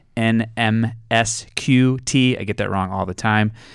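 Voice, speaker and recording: The voice is an unremarkable speaking voice, from a man with fairly low pitch and fairly even intonation. The recording is very clean, with a silent background. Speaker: school administrator, co-host. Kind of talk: news announcements.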